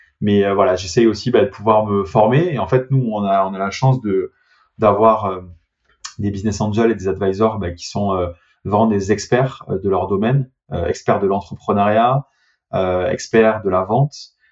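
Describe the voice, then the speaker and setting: A man with fairly even intonation speaks fairly slowly in a fairly low pitch. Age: 30s. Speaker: startup CEO. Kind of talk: interview. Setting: remote call.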